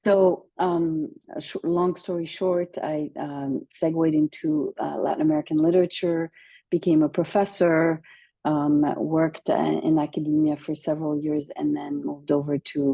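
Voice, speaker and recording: A woman with a French accent, a very deep, low pitch, fairly even intonation and a moderate pace. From France. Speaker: university administrator. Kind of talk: interview. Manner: hesitant with many fillers.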